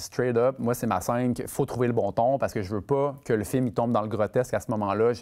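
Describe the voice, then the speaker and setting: Over a quiet background, a man talks at a fairly quick pace with hardly any pauses and fairly even intonation. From Quebec City; Quebec. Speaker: film director; guest. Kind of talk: masterclass interview with audience. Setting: stage with student audience. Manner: halting, many fillers and repetitions. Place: stage. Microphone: lapel.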